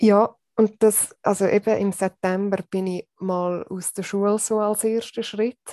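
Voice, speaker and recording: In a dry, close sound with no echo, a woman speaks at a medium pitch with hardly any pauses, her dark, mellow tone delivered in a flat monotone. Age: 30s. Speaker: secondary school teacher. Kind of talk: interview, personal story of burnout. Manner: hesitant, with many fillers.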